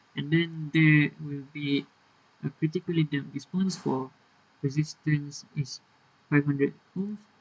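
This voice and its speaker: A man speaks at a fairly slow pace, leaving long, frequent pauses. His voice is fairly high-pitched and somewhat breathy, with fairly even intonation. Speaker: university engineering student. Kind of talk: technical tutorial explanation. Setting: poor microphone, uneven volume.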